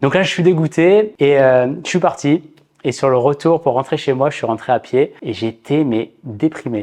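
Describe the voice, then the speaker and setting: A man with a fairly high voice and ordinary pitch variation talks at a fairly slow pace in an ordinary speaking voice. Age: 30s. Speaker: vlogger and physiotherapist. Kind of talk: vlog narration. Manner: casual.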